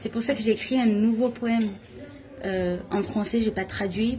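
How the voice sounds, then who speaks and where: Noticeable background noise surrounds a woman with an Armenian accent. She keeps a moderate pace with ordinary pitch variation. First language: Armenian (speaking French). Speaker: artist and poet. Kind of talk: guided tour explanation. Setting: art festival installation. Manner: hesitant, many fillers.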